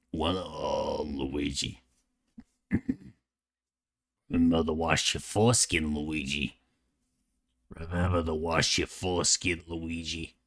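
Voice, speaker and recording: In a put-on character voice, a man sounds nasal and strained at a very deep, low pitch, speaking fairly slowly with long, frequent pauses on a very clean recording with a silent background. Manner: silly, exaggerated cartoon voice.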